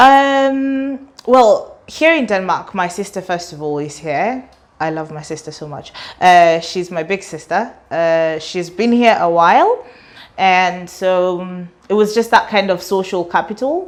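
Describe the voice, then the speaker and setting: A woman's medium-pitched voice in a British accent, fairly slow, with lively intonation and big swings in loudness. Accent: British-sounding English. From Kenya. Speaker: student and artist. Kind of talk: interview.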